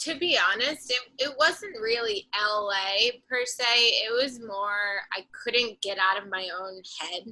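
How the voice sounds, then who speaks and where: Speaking at a very slow pace with hardly any pauses, a woman with a strong Boston accent uses a fairly high pitch, ordinary pitch variation, a bright, sharp tone and big swings in loudness. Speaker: singer-songwriter and artist. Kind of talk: casual interview chat.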